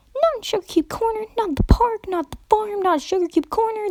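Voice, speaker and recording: A woman in a put-on character voice sounds bubbly and squeaky, talking at a fairly quick pace with an extremely high pitch. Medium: read story. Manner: fast, bubbly.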